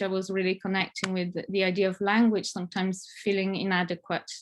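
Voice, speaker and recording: A woman's medium-pitched voice with an Italian accent. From Italy, Italian Alps. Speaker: family therapist. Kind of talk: conference presentation. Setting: online conference. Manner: hesitant, many fillers.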